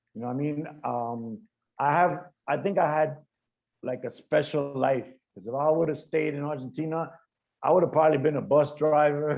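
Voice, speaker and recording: Pausing long and often, a man with a New York accent speaks at a fairly high pitch with fairly even intonation. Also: moderate pace. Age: 50s. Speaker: graffiti artist. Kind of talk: panel discussion.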